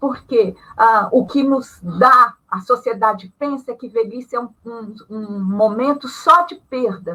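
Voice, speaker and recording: Raised and projected, a woman's high-pitched voice carries a bright, sharp tone with very wide pitch swings. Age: 60s. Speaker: retired panel guest on ageing. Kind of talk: live panel discussion.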